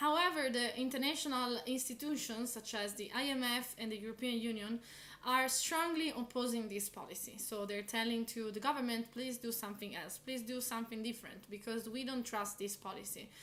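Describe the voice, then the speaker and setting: Fairly high-pitched woman's voice at a fairly quick pace with hardly any pauses and fairly even intonation, over noticeable background noise. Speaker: political commentator. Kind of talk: explainer video. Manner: hesitant with fillers.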